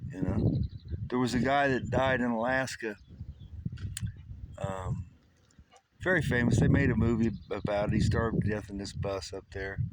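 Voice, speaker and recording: A man at a medium pitch talks with ordinary pitch variation, long and frequent pauses, and noticeable background noise. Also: moderate pace. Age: 60s. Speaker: retired homesteader. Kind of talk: casual monologue. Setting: outdoors. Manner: halting.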